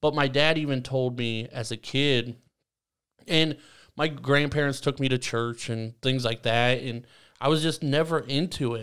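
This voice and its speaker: A man speaks at a moderate pace. He has an unremarkable speaking voice. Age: 20s. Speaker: podcast host. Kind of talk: casual chat.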